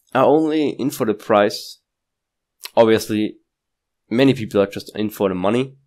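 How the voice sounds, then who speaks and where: A man with a non-native accent talks at a moderate pace with ordinary pitch variation. The recording is very clean, and the background is silent. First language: not English. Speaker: crypto YouTuber. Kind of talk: casual market analysis talk. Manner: halting, with restarts and fillers.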